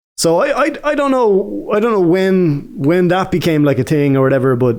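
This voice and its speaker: This man has an Irish accent and a high pitch. He moves at a moderate pace with very wide pitch swings. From Ireland. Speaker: gaming YouTuber telling stories. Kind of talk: casual storytelling. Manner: casual, hesitant with fillers.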